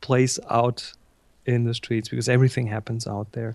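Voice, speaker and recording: A man with a German accent is heard on a very clean recording against a silent background. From Germany. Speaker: photographer and instructor. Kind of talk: interview.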